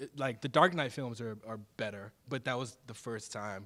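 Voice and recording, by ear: A man is speaking. His tone is fairly bright.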